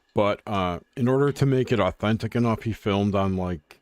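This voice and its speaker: An unremarkable speaking voice from a man, fairly low in pitch with ordinary pitch variation, at a moderate pace in a dry, close sound with no echo. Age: 60s. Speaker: podcast co-host. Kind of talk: casual chat.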